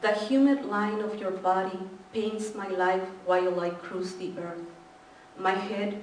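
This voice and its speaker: Very slow speech in a Spanish accent, with noticeable background noise and audible room echo. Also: woman. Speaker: poet. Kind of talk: poetry reading; casual introduction.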